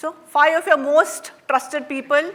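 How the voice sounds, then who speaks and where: This woman has a high pitch. She speaks with a Marathi Indian accent. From India, Maharashtra. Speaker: workshop facilitator. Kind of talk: interactive workshop talk. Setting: stage with audience. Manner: conversational, frequent fillers.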